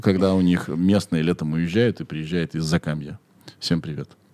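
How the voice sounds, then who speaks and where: A man speaks at a moderate pace in a very deep, low voice with ordinary pitch variation, the sound dry and close with no echo. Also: long, frequent pauses. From Russia, Kirov. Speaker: podcast host. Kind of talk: casual chat. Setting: studio.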